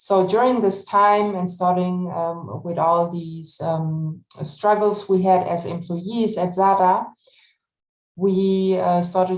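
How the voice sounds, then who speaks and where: Audible room echo accompanies speech in a German accent, delivered at a very slow pace with fairly even intonation. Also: woman. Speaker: retail worker and union organizer. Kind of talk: panel discussion. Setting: webinar video call. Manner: halting.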